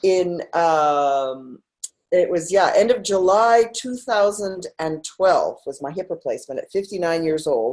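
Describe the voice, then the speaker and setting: The speaker talks at a fairly slow pace with lively intonation. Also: woman, medium pitch for a woman. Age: 60s. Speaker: masters rower. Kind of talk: interview. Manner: halting.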